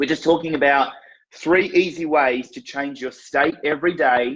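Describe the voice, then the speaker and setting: A man with a plain, everyday voice speaks at a moderate pace, his pitch fairly high. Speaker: fitness marketing coach, live show host. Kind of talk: live stream talk to viewers. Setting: live stream on social media.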